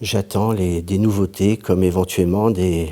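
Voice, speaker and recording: Very deep and low, a man's voice carries a dark, mellow tone. He speaks at a fairly slow pace with fairly even intonation. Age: 50s. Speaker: patient. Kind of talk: testimony. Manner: halting.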